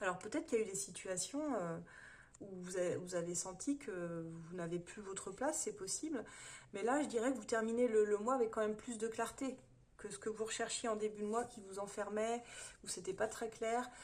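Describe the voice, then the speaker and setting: This woman's voice sits at a fairly high pitch with ordinary pitch variation. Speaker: tarot reader. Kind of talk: monthly horoscope tarot reading. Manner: fast; hesitant, many fillers.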